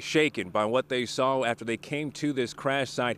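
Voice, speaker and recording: In a normal speaking voice, a man of medium pitch keeps his intonation fairly even. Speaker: TV news reporter and anchor. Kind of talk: TV news reporting and anchoring. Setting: outdoors, live field reports.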